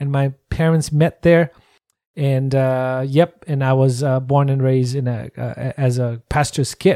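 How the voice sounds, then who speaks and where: A man's dark, mellow voice in a Nepali accent, at a fairly slow pace with fairly even intonation and a dry, close sound with no echo. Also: medium pitch for a man. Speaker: missionary, worship trainer. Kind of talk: interview.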